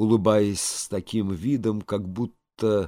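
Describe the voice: Fairly even intonation in plain reading aloud, quiet background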